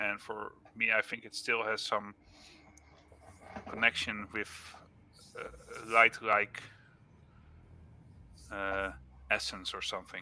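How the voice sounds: A man speaks slowly in a fairly low voice with a bright, sharp tone. His pitch barely moves, and he leaves long, frequent pauses.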